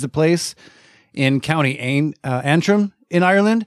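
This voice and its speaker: An unremarkable speaking voice, a man's, fairly high in pitch with ordinary pitch variation and a dry, close sound with no echo. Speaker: podcast host. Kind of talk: casual chat. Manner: jokey.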